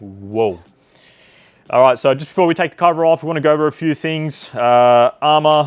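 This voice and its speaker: Against a quiet background, a man sounds enthusiastic, his intonation lively. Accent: Australian. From Australia. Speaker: RC hobby YouTuber. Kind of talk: product unboxing review. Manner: enthusiastic, casual.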